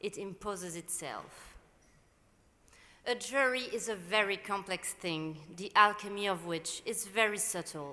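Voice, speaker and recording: A woman speaks with a French accent at a medium pitch, her tone bright and sharp. She talks at a fairly slow pace with ordinary pitch variation. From Morocco. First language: Arabic and French. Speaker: novelist, prize jury chair. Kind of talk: prepared speech at award ceremony. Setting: event venue with live audience. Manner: formal.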